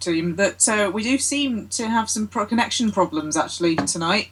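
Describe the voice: A plain reading-aloud voice.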